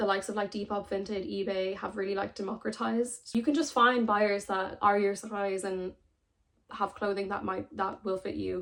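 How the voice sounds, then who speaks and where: A woman with an Irish accent speaks at medium pitch and a moderate pace, her intonation fairly even. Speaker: sustainable fashion content creator. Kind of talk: casual talk to camera.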